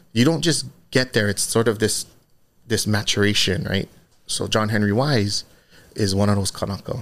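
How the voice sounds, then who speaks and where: A man's fairly low voice with a Hawaiian accent, moderate pace, ordinary pitch variation, and long, frequent pauses. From Hawaii, Oahu windward side. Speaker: fashion designer and brand co-founder. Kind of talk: casual interview.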